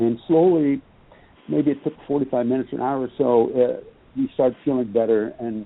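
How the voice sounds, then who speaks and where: With ordinary pitch variation, a man speaks in a normal speaking voice at medium pitch. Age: 60s. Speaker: retired police officer and author. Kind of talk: interview. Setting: radio show.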